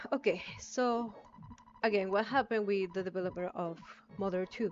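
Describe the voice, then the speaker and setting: Over music in the background, a woman with a non-native accent talks at a medium pitch with ordinary pitch variation. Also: moderate pace. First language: not English. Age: 20s. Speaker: gaming streamer. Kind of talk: live gameplay stream commentary. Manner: halting, many fillers.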